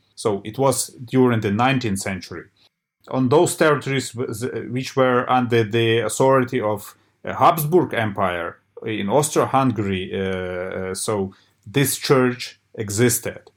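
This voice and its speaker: A man speaks with a Ukrainian accent. He goes at a fairly slow pace with ordinary pitch variation. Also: medium pitch for a man. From Ukraine. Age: 40s. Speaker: church historian. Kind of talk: interview. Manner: halting.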